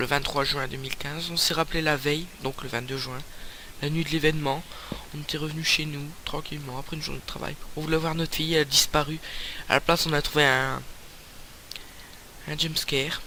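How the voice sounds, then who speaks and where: A man's fairly high, monotone voice at a fairly quick pace, broken by long, frequent pauses over noticeable background noise. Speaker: gaming YouTuber. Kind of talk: let's play commentary. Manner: loud; hesitant, many fillers.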